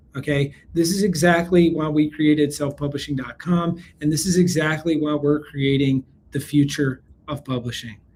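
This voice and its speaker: An American-accented man sounds energetic and upbeat. He moves at a moderate pace, his voice somewhat breathy. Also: fairly high pitch for a man. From US South, South Carolina. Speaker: business webinar presenter, company CEO. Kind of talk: live webinar sales pitch. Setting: live online training. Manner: energetic, upbeat.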